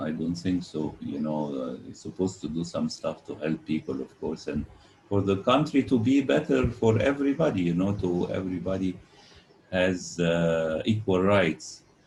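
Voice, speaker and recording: With lively intonation and a very deep, low pitch, a man talks at a moderate pace over noticeable background noise. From Egypt. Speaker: film critic and interviewer. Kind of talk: interview. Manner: halting.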